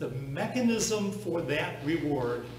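A man speaking slowly, with clear background noise and audible room echo

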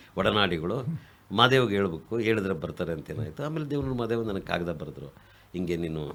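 A man's fairly low voice with very wide pitch swings. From Kolar district, Karnataka. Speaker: writer and activist. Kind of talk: radio interview.

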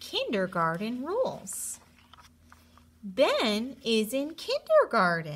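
Slow and slightly husky, the voice moves through very wide pitch swings. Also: woman, fairly high pitch for a woman.

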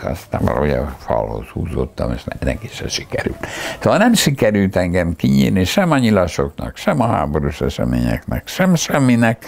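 Hardly pausing, a man with a very deep, low pitch speaks at a moderate pace with very wide pitch swings. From Hungary. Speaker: philosopher, university professor. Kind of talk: oral history interview answer. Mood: reflective, recalling wartime childhood. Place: home room. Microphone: lapel.

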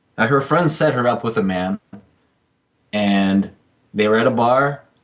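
At a fairly slow pace, a man speaks at medium pitch with ordinary pitch variation.

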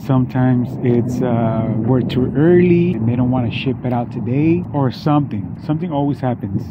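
A man speaks at a moderate pace with ordinary pitch variation. The sound is dry with no echo, though background noise is noticeable. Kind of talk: casual vlog chat. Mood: relaxed, explaining. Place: street. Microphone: phone near.

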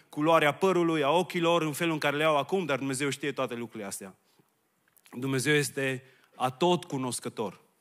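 In a quiet background, a man talks with ordinary pitch variation. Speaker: preacher. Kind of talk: sermon. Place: church. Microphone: handheld.

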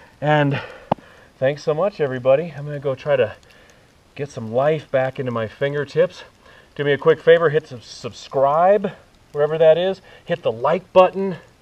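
Talking at a moderate pace with ordinary pitch variation, a man takes long, frequent pauses, and his loudness swings widely. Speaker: fitness instructor. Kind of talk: workout instruction. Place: forest.

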